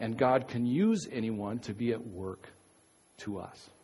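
Noticeable noise runs underneath. The talking is very slow. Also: man. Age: 50s. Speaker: pastor. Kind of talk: sermon. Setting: church. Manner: halting.

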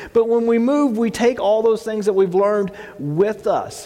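Moderately paced speech from a man, noticeable background noise throughout. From Texas. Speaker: pastor. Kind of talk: sermon. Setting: church. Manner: halting, with filler words.

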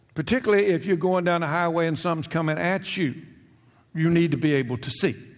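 A man with a high pitch, ordinary pitch variation and a fairly quick pace. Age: 70s. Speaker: retired pastor. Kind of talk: sermon. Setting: church. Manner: halting.

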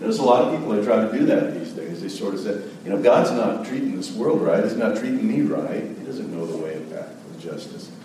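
Over noticeable background noise, a man speaks at a fairly quick pace with hardly any pauses. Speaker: pastor. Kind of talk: sermon. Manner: soft-spoken.

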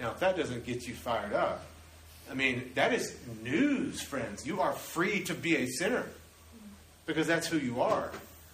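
The speech has very wide pitch swings and long, frequent pauses. Audible room echo and noticeable background noise fill the recording. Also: man, high pitch for a man, moderate pace. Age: 30s. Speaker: pastor. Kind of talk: sermon. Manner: animated.

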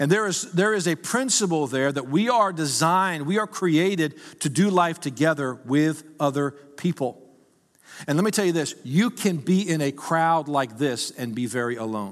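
A man talks at a moderate pace in an animated tone, his pitch fairly high and his intonation lively. The recording is very clean with a silent background. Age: 50s. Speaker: pastor. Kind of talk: sermon. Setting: church.

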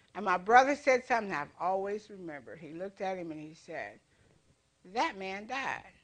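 A woman with a medium pitch talks at a fairly quick pace, her intonation lively and her loudness swinging widely. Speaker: preacher. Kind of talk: sermon. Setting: church.

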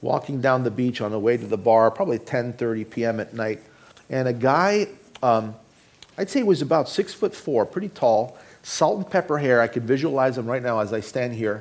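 This is a plain, everyday voice, a man's at a medium pitch with a Canadian accent. He speaks at a moderate pace with lively intonation. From Canada, Toronto; Greek family. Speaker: pastor. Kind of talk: sermon. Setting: church.

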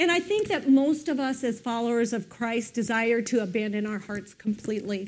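A woman speaks in a normal speaking voice at a fairly high pitch, at a moderate pace with hardly any pauses and ordinary pitch variation. The recording is very clean, with a silent background. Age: 50s. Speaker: pastor. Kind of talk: sermon.

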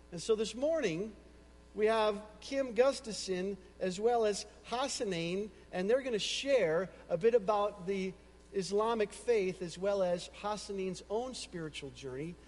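With an American accent, a man speaks fairly slowly in a high pitch with ordinary pitch variation. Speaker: pastor.

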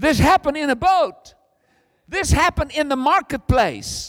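This man sounds animated, using lively intonation at a moderate pace, recorded dry and close with no echo. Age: 60s. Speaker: visiting preacher. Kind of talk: sermon. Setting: church.

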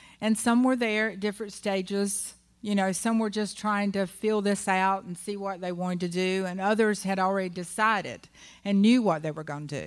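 A woman speaks in a normal speaking voice at medium pitch. Her intonation is fairly even and her pace moderate. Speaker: pastor's wife. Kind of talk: testimony. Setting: church.

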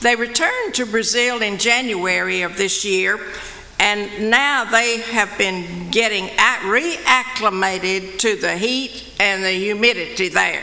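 Noticeable background noise surrounds a woman speaking at a very slow pace. Her pitch is medium, with ordinary variation. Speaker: missions committee member. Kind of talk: reading aloud. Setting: church.

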